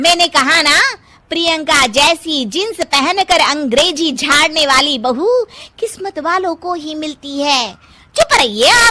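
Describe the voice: Putting on a cartoonish character voice, a woman speaks high-pitched, bright and sharp, with lively intonation, a fairly slow pace and few pauses.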